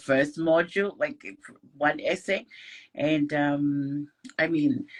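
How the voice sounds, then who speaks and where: A woman with a Tongan accent talks very slowly in a very deep, low pitch, her intonation fairly even. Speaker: scholarship student. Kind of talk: casual interview. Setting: online live stream.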